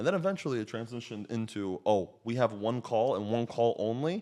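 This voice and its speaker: A man talks at a fairly quick pace with a slight Slovak accent. His pitch sits in the medium range. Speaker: coach and realtor. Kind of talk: podcast conversation.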